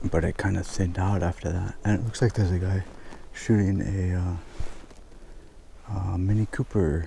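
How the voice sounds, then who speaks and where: Quiet and somewhat breathy, a man speaks at a moderate pace with a very deep, low pitch and a dark, mellow tone, leaving long, frequent pauses. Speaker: travel photographer, vlogger. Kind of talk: on-location vlog commentary. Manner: quiet, low voice.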